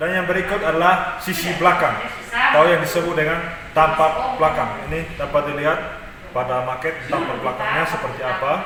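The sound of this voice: A man talks at a fairly quick pace with few pauses. His voice carries audible room echo. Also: fairly high pitch for a man, fairly even intonation.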